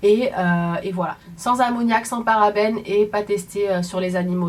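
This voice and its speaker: Amid noticeable background noise, a woman talks at medium pitch and a moderate pace. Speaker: beauty vlogger. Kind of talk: casual product review vlog. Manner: animated.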